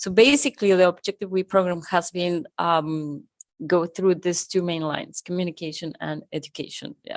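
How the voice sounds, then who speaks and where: Speaking with a Spanish accent, a woman uses a fairly low pitch at a moderate pace, with ordinary pitch variation. Her loudness swings widely, and the sound is dry and close with no echo. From Argentina. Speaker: conference co-founder. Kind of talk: live podcast interview. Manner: halting.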